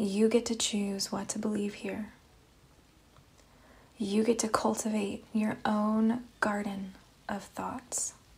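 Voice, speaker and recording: The delivery is monotone and flat, very slow, with long, frequent pauses and noticeable background noise. The tone is calm and soothing. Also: woman, fairly high pitch for a woman. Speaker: meditation guide. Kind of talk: guided meditation. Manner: slow, calm, soothing.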